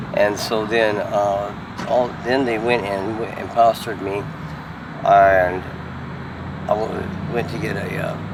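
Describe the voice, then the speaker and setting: Speaking at a very slow pace with long, frequent pauses, a man keeps his intonation monotone and flat while noticeable background noise and audible room echo fill the recording. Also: fairly low pitch for a man. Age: 60s. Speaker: homeless man. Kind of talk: street interview. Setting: outdoors on the street. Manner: halting, many fillers and repeats.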